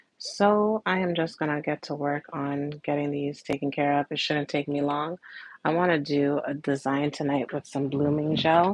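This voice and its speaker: Against a quiet background, a soft-spoken woman with a very deep, low pitch talks at a moderate pace in a relaxed tone with fairly even intonation. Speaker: nail art livestreamer. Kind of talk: casual livestream chat. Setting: home livestream.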